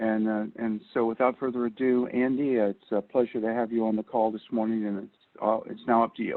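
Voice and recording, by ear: A man talks at a fairly quick pace with a fairly low pitch. His voice shows little pitch movement.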